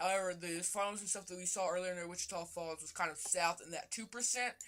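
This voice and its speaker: A woman with a medium pitch talks as noticeable background noise goes on. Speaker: weather livestreamer. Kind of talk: live weather commentary. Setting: livestream. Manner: fast; casual, rambling.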